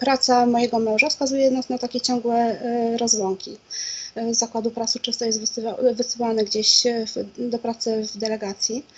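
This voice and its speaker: Her high-pitched voice moves at a moderate pace. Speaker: interview guest, guest. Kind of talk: interview answer. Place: home room. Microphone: video call.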